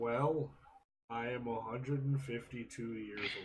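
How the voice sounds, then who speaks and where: A man speaks in a put-on character voice. His pitch sits in the middle range. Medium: actual play.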